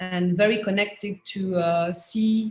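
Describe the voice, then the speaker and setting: In a French accent, a woman speaks at a fairly slow pace. Her voice is somewhat breathy, with fairly even intonation. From France. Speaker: anthropologist and professor. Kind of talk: panel discussion. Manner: halting, many fillers; quiet.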